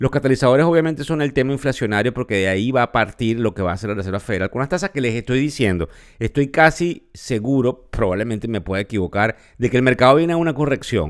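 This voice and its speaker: A man speaks at a fairly quick pace with a medium pitch and lively intonation. The recording is very clean, with a silent background. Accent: Venezuelan. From Venezuela. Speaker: financial podcast host. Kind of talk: podcast commentary. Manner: halting.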